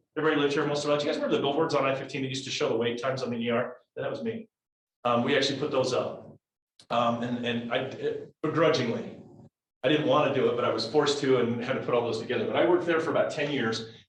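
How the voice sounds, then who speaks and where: Somewhat breathy and fairly high-pitched, a man speaks at a very fast pace with ordinary pitch variation and audible room echo. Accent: American. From Utah, Salt Lake Valley. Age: 50s. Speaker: business executive, guest speaker. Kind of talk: talk to a college class. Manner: casual, conversational.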